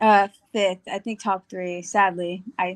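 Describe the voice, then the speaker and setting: A woman with an American accent and monotone, flat intonation. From Texas. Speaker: college wrestler. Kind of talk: casual interview.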